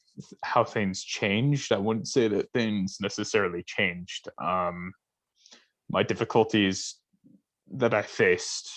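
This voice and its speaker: At a fairly slow pace, a man speaks with ordinary pitch variation over a quiet background. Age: 20s. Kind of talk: casual chat.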